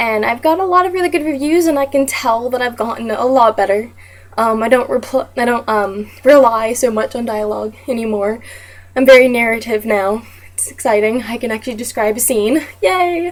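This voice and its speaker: Pitch shifting an ordinary amount, with noticeable noise behind it. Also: woman, fairly high pitch for a woman. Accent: American. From US South. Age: 20s. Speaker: teaching job applicant. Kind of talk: self-introduction video. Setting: webcam recording. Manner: fast.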